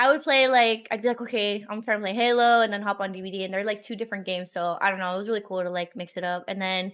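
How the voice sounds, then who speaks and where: Over a quiet background, a woman talks at a very fast pace in a medium pitch with ordinary pitch variation. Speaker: streamer. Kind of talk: casual chat.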